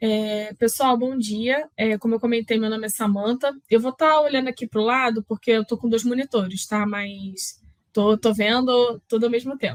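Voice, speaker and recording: A woman's fairly high voice with fairly even intonation and a dry, close sound with no echo. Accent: Carioca. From Rio de Janeiro, Brazil. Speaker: process automation specialist, speaker. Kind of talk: conference talk.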